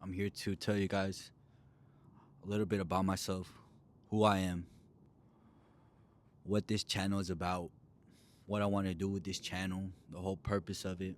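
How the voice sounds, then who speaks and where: Long, frequent pauses break up a man's moderate-paced speech in an American accent. His voice is very deep and low, with flat, monotone intonation. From Texas, Dallas suburbs. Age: 20s. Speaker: bodybuilder vlogger. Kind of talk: casual vlog self-introduction.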